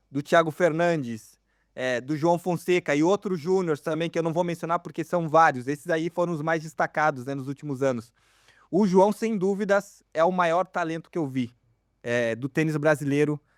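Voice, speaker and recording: On a very clean recording with a silent background and a dry, close sound with no echo, a man with a normal speaking voice talks at a moderate pace, his pitch fairly high with ordinary variation. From Brazil. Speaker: tennis podcast host. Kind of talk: casual chat.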